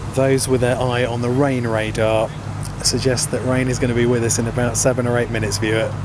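Noticeable background noise sits behind a man speaking at a very fast pace in a medium pitch. His loudness is very even and his intonation is monotone and flat. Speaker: cricket commentator and club video maker. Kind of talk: live sports commentary on a cricket match. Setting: outdoors at a cricket ground in wind and rain. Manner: chatty and informal, interjecting 'oh dear' and laughing.

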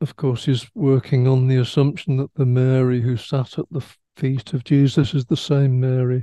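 With a dark, mellow tone and fairly even intonation, a man talks at a moderate pace in a dry sound with no echo and a quiet background. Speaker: religious teacher or study leader. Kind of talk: religious teaching talk. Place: home room. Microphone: headset.

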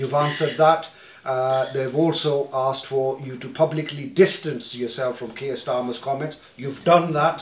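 A man at a moderate pace, with audible room echo. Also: fairly even intonation. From northern England (Leeds); northern England. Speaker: community organization officer chairing meeting; meeting moderator. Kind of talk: community meeting chairing. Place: meeting room. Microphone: camera far.

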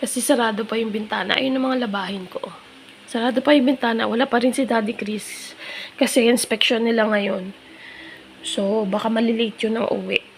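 A woman's fairly high voice at a fairly quick pace, with fairly even intonation and noticeable background noise. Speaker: lifestyle vlogger. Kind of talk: casual vlog. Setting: at home, living room.

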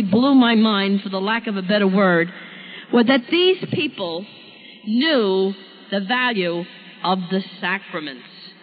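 A woman with an American accent speaks at a moderate pace. Noticeable background noise sits behind her. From US Northeast, Brooklyn, New York. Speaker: speaker on spiritual deliverance. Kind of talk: testimony. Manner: authoritative.

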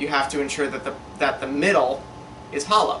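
A man, with light background noise. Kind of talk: tutorial. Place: workshop.

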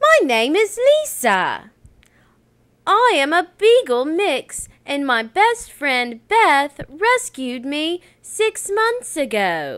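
In a squeaky, female-sounding put-on character voice, extremely high for a woman, the speech moves at a very slow pace with very wide pitch swings. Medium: voice reel. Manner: earnest, friendly.

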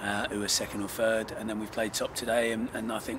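Clear background noise runs under the speech. A man talks at a fairly low pitch and a fairly quick pace.

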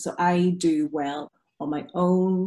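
A woman speaks in a Derry accent with a dark, mellow tone and fairly low pitch. Her intonation is fairly even, and the background is quiet. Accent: Northern Irish (Derry). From Northern Ireland, Derry. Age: 40s. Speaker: concert pianist. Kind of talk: casual chat. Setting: video call. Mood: reflective, personal, open. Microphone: video call.

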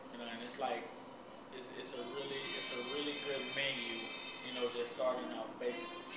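Over music in the background, a man talks at a fairly quick pace with audible room echo. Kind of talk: interview answer. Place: kitchen.

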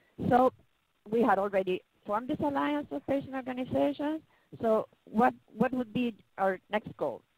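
A woman with a Spanish accent speaks at a moderate pace with lively intonation, the sound dry with no echo. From Chile. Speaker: patient advocate. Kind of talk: webinar presentation. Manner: halting. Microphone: video call.

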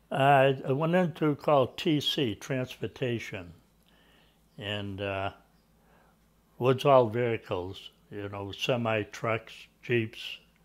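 A speaker with an Eastern New England accent talks at a very slow pace, with long, frequent pauses and lively intonation. The background is quiet. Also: man, medium pitch for a man. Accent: Eastern New England American. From Natick, Massachusetts; Massachusetts. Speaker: Army veteran. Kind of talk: oral history interview answer. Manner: hesitant, conversational. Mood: calm reminiscing. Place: home room. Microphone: lapel.

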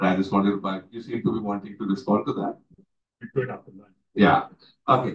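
With an Indian accent, a man speaks at a fairly quick pace in a fairly low pitch with ordinary pitch variation, long and frequent pauses, and big swings in loudness, over a quiet background with audible room echo. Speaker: water professional. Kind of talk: closing remarks. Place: meeting room. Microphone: camera far.

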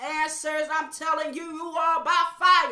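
A woman with a high pitch and a bright, sharp tone uses a raised, projected voice at a fairly slow pace, with audible room echo and a quiet background. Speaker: evangelist preacher. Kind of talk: fervent prayer; sermon. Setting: online video to viewers. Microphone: webcam.

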